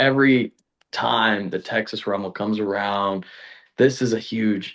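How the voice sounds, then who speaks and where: A man with an ordinary speaking voice, medium pitch, fairly even intonation and moderate pace, against a quiet background. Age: 20s. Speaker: pro wrestler. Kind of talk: casual interview chat.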